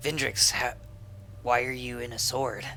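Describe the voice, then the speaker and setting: A put-on character voice speaks at a low-to-middle pitch and a moderate pace. Background noise is clearly present. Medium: actual play. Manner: casual, teasing.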